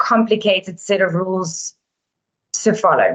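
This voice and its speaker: A woman with a South African accent. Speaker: relocation company director. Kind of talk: webinar presentation.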